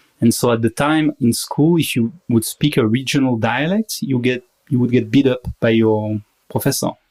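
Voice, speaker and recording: With a strong French accent, a man speaks at a moderate pace and medium pitch with ordinary pitch variation, the sound dry and close with no echo. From Paris, France. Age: 30s. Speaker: marketing worker. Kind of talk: podcast interview.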